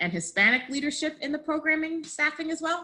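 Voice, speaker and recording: Using a raised, projected voice, a woman talks at a fairly quick pace with very wide pitch swings. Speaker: work group member presenting a memo. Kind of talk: meeting presentation. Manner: fast.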